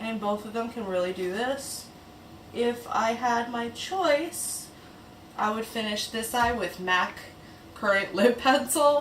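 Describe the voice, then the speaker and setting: A woman with a fairly high pitch speaks at a very slow pace, her pitch varying in an ordinary way. There is light background noise and audible room echo. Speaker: beauty YouTuber. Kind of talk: makeup tutorial and product review. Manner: quiet, low-key; casual, conversational. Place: home room.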